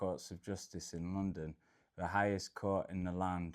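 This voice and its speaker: A man speaks with a northern Midlands accent at a very deep, low pitch. His intonation is monotone and flat, and his pace is moderate. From England, Derbyshire (Peak District). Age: 40s. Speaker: travel vlogger. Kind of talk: personal life story monologue. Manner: casual, with fillers.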